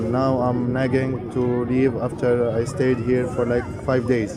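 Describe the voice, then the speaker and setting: A man speaks at a medium pitch. Music plays in the background. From Syria. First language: Arabic. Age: 20s. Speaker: refugee. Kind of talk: interview answer.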